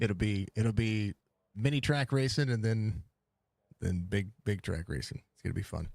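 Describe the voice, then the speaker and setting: With an American accent, a man talks at a moderate pace in a fairly low pitch, his loudness swinging a lot and his pitch varying in an ordinary way, in a dry, close sound with no echo. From US South, Mississippi. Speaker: sim racing broadcaster. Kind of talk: live race commentary; casual post-race chat. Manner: animated.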